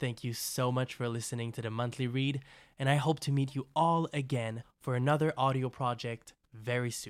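The speech moves at a moderate pace with fairly even intonation, in a very clean recording with a silent background. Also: man, medium pitch for a man. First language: French. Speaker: podcast host and writer. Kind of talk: scripted monologue.

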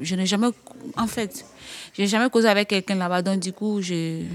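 A woman's medium-pitched voice moves at a moderate speed, its intonation fairly even. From Côte d'Ivoire. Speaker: young migrant. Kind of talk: testimony. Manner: halting.

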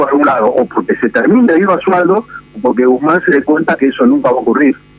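Very wide pitch swings in a male voice, with noticeable background noise behind it. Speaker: political journalist. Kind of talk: radio interview.

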